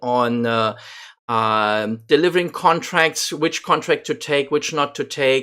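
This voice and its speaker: A man's fairly slow speech with lively intonation in a very clean recording with a silent background. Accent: non-native. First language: not English. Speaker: gaming YouTuber. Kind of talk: gameplay commentary. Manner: halting, many fillers.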